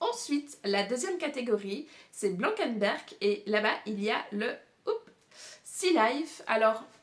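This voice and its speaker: Audible room echo surrounds a woman's voice. Her pitch is fairly high and her intonation lively. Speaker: booktuber. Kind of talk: casual video monologue presenting a reading challenge. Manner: many hesitations and fillers.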